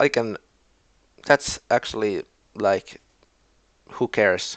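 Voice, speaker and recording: With a Finnish accent, a man speaks at a very slow pace in a medium pitch with ordinary pitch variation. The sound is dry and close with no echo, over a quiet background. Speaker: video game league commentator. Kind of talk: casual commentary recap. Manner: halting.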